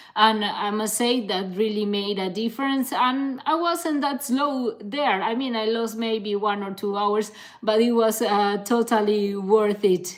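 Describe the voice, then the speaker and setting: Speaking at a fairly slow pace with hardly any pauses, a woman with a fairly high pitch and ordinary pitch variation is heard over noticeable background noise. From Canary Islands, Spain. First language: Spanish. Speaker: ultra-distance cyclist and content creator. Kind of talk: live stream Q&A. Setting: live stream. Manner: casual, hesitant with fillers.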